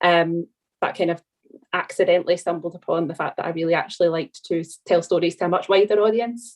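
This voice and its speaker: Talking at a very fast pace with a Scottish accent, a woman keeps her fairly low-pitched voice at a fairly even intonation. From Scotland. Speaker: documentary TV researcher, training alumna. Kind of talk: video call panel Q&A.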